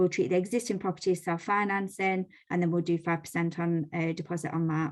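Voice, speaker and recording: The speech moves at a very fast pace with fairly even intonation. There is a quiet background. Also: woman, fairly low pitch for a woman. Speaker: lender representative presenting to mortgage brokers. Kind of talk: business presentation on a video call. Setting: video call.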